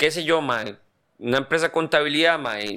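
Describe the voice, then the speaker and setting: Here a man speaks with a Costa Rican accent at a fairly high pitch. His tone is bright and sharp, and his intonation is lively. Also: very clean recording, silent background. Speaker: podcast co-host. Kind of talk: casual chat.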